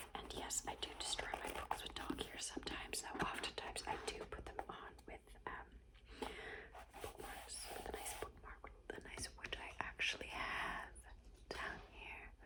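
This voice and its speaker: A whispered voice comes through clearly audible background noise. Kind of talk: ASMR whispered book recommendations. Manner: whispered, slow, repetitive.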